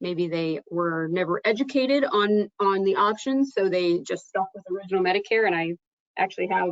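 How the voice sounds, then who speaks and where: An ordinary speaking voice at a fairly quick pace. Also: woman. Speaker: insurance trainer presenting to agents. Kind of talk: webinar presentation.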